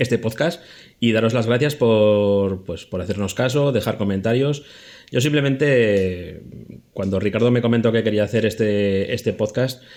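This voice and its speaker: Recorded very cleanly against total silence, an ordinary speaking voice goes at a medium tempo with typical rises and falls in pitch. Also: man, medium pitch for a man. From Spain, Zaragoza (Aragon). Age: 40s. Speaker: podcast producer and editor. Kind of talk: casual chat.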